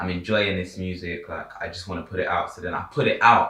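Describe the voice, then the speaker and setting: A very fast man's voice, very deep and low, with music in the background and audible room echo. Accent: London. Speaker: rapper and producer. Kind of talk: casual chat. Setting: on a sofa.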